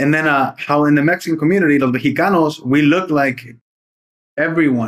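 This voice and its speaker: A man speaks at a fairly high pitch. His loudness stays very even. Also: fairly quick pace. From Bay Area, California (Redwood City). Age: 30s. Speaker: podcast host, former teacher. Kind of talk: casual podcast chat. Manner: animated, casual.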